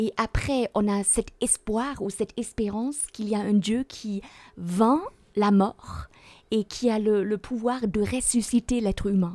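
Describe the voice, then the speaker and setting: Against a quiet background, a woman speaks very slowly with a dark, mellow tone. Her fairly high voice keeps a fairly even intonation. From Germany. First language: German (speaking French). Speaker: theology professor. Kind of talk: Bible study discussion. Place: studio. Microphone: studio mic.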